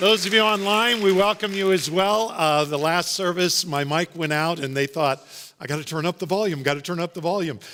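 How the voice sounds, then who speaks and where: A loud, high-pitched male voice with a bright, sharp tone, fairly quick pace, hardly any pauses and ordinary pitch variation. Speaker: pastor. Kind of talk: sermon. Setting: church.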